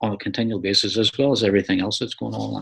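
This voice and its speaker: A man with an Irish accent on a very clean recording with a silent background. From Ireland. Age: 60s. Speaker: ultra cyclist. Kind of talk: interview.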